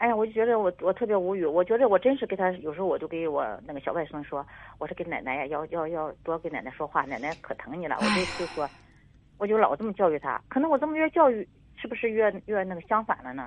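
Medium in pitch, a woman speaks at a very fast pace. Her pitch swings very widely. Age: 50s. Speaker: caller, grandmother. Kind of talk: call-in phone conversation. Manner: halting.

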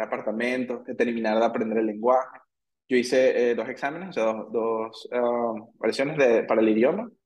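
With a Venezuelan accent, a man talks at a moderate pace, a medium pitch, and fairly even intonation. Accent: Venezuelan, drops final s. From Venezuela, Caracas. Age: 30s. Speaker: engineer. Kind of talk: casual interview chat. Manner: halting, many repetitions.

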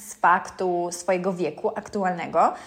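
Fairly slow, medium-pitched speech from a woman. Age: 30s. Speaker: podcast host. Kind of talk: casual monologue. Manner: animated; hesitant with fillers.

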